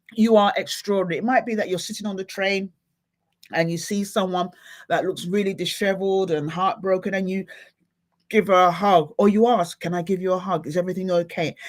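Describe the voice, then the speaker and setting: This woman has a plain, everyday voice at a medium pitch, talking at a fairly quick pace with fairly even intonation on a very clean recording with a silent background. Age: middle-aged. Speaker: motivational speaker and livestream host. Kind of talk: live motivational talk to viewers. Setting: livestream. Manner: casual, chatty.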